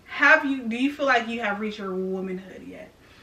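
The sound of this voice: A woman at a fairly high pitch, bright and sharp in tone, with ordinary pitch variation, a moderate pace, and audible room echo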